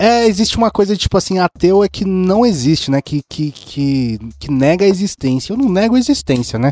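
A man's high-pitched, fairly quick speech with very wide pitch swings and hardly any pauses, dry and close with no echo. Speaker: podcast co-host. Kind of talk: casual chat.

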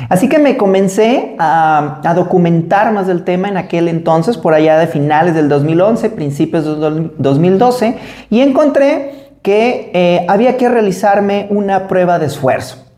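With a Mexican accent, a man talks fairly slowly in a high pitch with lively intonation, over noticeable background noise and audible room echo. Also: hardly any pauses. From Mexico. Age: 40s. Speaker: podcast host and marathon runner. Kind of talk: solo podcast monologue.

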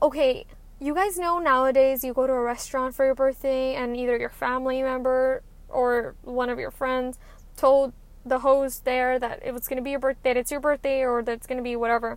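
A woman with a high pitch talks at a fairly quick pace in a monotone, flat intonation. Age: 20s. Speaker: podcast host. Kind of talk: casual monologue.

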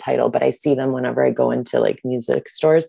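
With an American accent, a woman talks at a very fast pace. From US Midwest (Detroit, Michigan area). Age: 30s. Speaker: concert venue worker. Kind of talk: casual chat.

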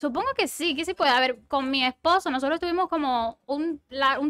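A woman with a Cuban accent speaks in a raised, projected voice with a bright, sharp tone and ordinary pitch variation. The recording is very clean, with a silent background and a dry, close sound with no echo. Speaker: podcast guest. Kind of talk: casual chat.

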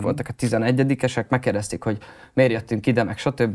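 An ordinary speaking voice from a man, medium in pitch, with ordinary pitch variation at a fairly quick pace. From Hungary, Hódmezővásárhely. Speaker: rapper and music producer. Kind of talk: interview.

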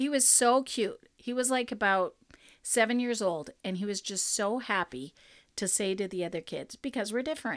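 A woman speaks in a plain, everyday voice at a moderate pace, fairly high in pitch with lively intonation. The recording is very clean, with a silent background. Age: 50s. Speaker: podcast host, ministry. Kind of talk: casual chat.

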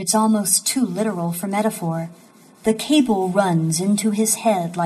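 With ordinary pitch variation, the clip carries an unforced reading voice.

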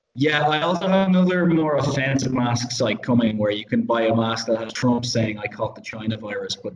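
A man's medium-pitched voice, lively in intonation, with hardly any pauses. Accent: Irish. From Ireland. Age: 30s. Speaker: podcast host. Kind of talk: casual chat.

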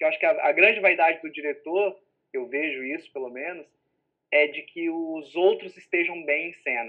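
A high-pitched man talks at a moderate pace, with ordinary pitch variation. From Minas Gerais, Brazil, moved often. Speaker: theatre director and book publisher. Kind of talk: casual chat.

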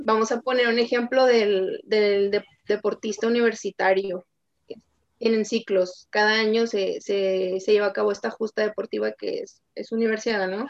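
A woman at a fairly high pitch in a flat monotone, moderate in pace, with a dry, close sound and no echo. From Tijuana, Baja California, Mexico. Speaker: sports psychologist. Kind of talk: interview.

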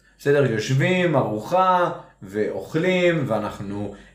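A man's lively intonation with audible room echo. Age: 40s. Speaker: parenting podcast co-host. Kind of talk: casual chat.

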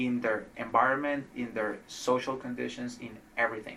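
In a Spanish accent, a man talks with fairly even intonation. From Colombia, Cali. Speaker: trauma outcomes physician scientist. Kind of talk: interview conversation.

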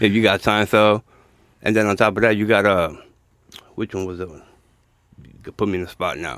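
A man with an American accent talks at a fairly quick pace and fairly low pitch, his intonation fairly even, his loudness swinging widely, with long, frequent pauses. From New York (Bronx). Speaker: podcast guest. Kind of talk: casual chat.

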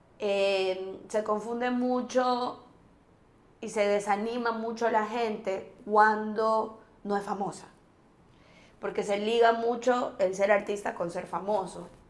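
Audible room echo surrounds a woman speaking at a very slow pace. Her fairly high voice stays monotone and flat. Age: 40s. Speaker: actress. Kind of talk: casual chat.

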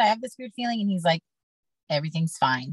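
A woman talks at a very fast pace with lively intonation and a somewhat breathy voice. The sound is dry and close, with no echo. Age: 40s. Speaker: podcast guest sharing testimony. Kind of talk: testimony.

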